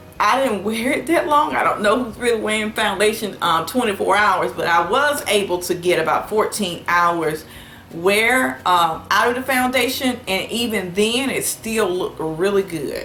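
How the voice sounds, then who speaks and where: A woman with a Southern US accent talks at a moderate pace and a fairly high pitch, with lively intonation and hardly any pauses. Audible room echo and noticeable background noise surround her. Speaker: beauty vlogger. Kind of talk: product review. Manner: casual, many filler words.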